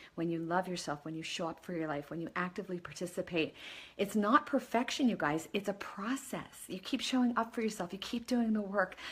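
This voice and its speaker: On a very clean recording with a silent background, a woman speaks at a fairly quick pace and medium pitch. Her voice is somewhat breathy, with lively intonation. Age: 50s. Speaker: life coach. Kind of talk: motivational talk. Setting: Facebook live video. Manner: animated.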